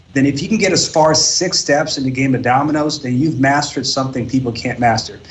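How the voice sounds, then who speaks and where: A man speaks at a very fast pace in a fairly high, somewhat breathy voice with ordinary pitch variation and audible room echo. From Eritrea. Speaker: professional domino player. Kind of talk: podcast interview.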